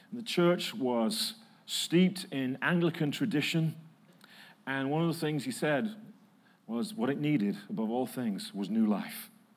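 Amid audible room echo, a man with an American accent talks at a fairly slow pace in a fairly high pitch with very wide pitch swings. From northern England, Manchester. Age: 50s. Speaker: preacher. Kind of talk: sermon. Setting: church.

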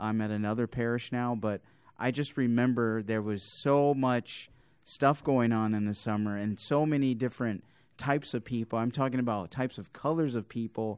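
This is an ordinary speaking voice, keeping a moderate speed and fairly even intonation. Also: man, medium pitch for a man. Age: 30s. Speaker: deacon and podcast host. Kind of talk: podcast interview.

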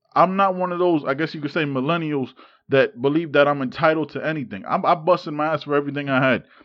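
Very fast and animated, a man with an American accent talks at a fairly high pitch with ordinary pitch variation. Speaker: podcast host. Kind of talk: angry rant, heated and profane, venting about politics and injustice. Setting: live on Instagram, recording podcast. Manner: animated, worked-up, exasperated, rapid-fire with swearing and 'man'/'dude' asides.

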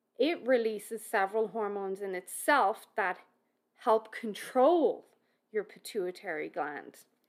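Speaking in an Irish accent, a woman uses a fairly high pitch and lively intonation. Her pace is fairly slow. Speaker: fitness and nutrition expert, podcaster. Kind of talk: educational solo podcast monologue. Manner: informal, conversational.

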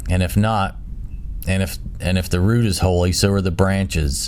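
A man speaks at a very deep, low pitch in a solemn tone. Pitch variation is ordinary, with noticeable background noise. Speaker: Bible study host reading scripture. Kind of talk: scripture reading aloud. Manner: solemn, measured, reverent; steady, formal.

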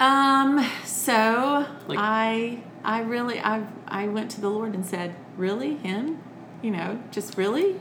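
A woman with a Southern US accent speaks at a very slow pace with lively intonation, over noticeable background noise and audible room echo. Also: fairly high pitch for a woman. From Alabama (Birmingham), US South. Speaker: children's entertainer and author. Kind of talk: casual interview. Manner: talkative.

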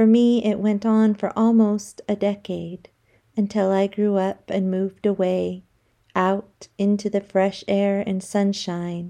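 A woman with an American accent speaks fairly slowly at a medium pitch, her dark, mellow tone held in a flat monotone against a quiet background. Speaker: poet. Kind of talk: reading aloud.

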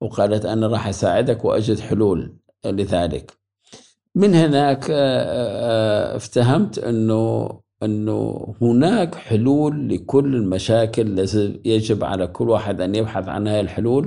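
A man talks at a very slow pace, his voice medium in pitch with a dark, mellow tone. His pitch varies in an ordinary way. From Iraq, Mosul. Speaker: graphic designer and professor. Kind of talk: interview.

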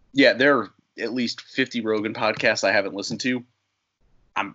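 A man with an American accent and an unremarkable speaking voice. His pitch sits fairly low and varies an ordinary amount. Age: 20s. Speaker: independent pro wrestler. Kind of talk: casual interview.

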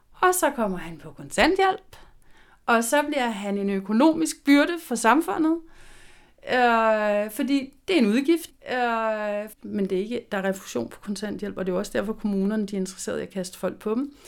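An ordinary speaking voice from a woman, fairly high in pitch, with lively intonation, big swings in loudness and a moderate pace, in a very clean recording with a silent background. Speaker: social worker. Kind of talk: interview.

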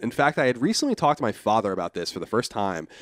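A man with an American accent at a medium pitch, talking at a very fast pace in a very clean recording with a silent background. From Long Island, New York. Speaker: podcast guest, online media personality. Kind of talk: casual chat.

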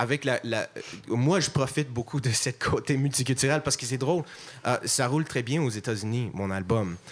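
Speaking with an English accent, a man at medium pitch keeps a moderate pace, very even loudness and ordinary pitch variation. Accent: English-speaker's accent in French. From Montreal, anglophone. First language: English (speaking French). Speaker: musician. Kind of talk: panel discussion.

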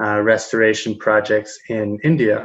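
In an American accent, a man talks at medium pitch. He goes at a very slow pace against a quiet background. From US Midwest, rural Kansas. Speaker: interviewer, urban planner. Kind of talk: interview.

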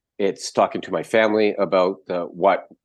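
A man speaks in a normal speaking voice, fairly low in pitch, at a moderate pace against a quiet background. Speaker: retired homicide detective and author. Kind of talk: interview. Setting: video call.

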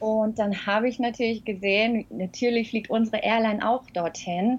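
A normal speaking voice at a fairly quick pace. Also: woman. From Germany. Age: 40s. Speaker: flight attendant and blogger. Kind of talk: interview.

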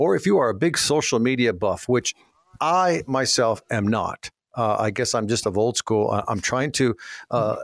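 Here is a man with a plain, everyday voice and an American accent, using ordinary pitch variation. His moderate pace comes through in a dry, close sound with no echo. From Minnesota. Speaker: radio host and auctioneer. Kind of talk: radio call-in show chat.

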